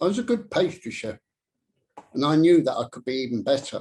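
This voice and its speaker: A fairly high-pitched man with an English accent, somewhat breathy, at a moderate pace and with lively intonation. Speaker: public speaker. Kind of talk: speech. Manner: stammer.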